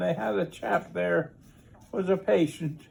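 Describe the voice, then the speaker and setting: A man talks at a fairly high pitch with vocal fry and very wide pitch swings. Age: 80s+. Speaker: war veteran. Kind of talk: interview.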